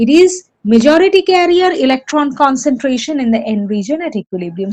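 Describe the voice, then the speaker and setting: Using lively intonation, a woman with a high pitch speaks at a fairly quick pace. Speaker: lecturer. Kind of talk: lecture.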